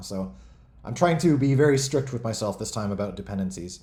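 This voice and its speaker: Somewhat breathy and dark, mellow in tone, a man speaks at a fairly quick pace with lively intonation. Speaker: game developer hosting a community stream. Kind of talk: casual livestream talk. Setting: online voice chat on a community server. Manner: fast.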